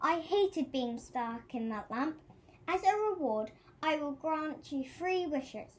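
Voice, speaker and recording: Speaking fairly slowly, a woman puts on a character voice. Her pitch sits high. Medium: read story.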